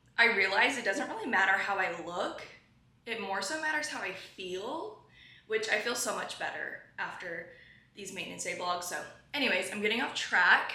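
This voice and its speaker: A woman speaks with lively intonation amid noticeable background noise and audible room echo. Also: medium pitch for a woman, moderate pace. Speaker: lifestyle vlogger. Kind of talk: casual vlog talk to camera.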